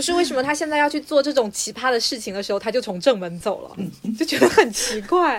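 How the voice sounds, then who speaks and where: Against noticeable background noise, a woman with a high pitch speaks at a very fast pace, with very wide pitch swings and big swings in loudness. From southern China. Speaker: podcast co-host. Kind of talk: casual chat.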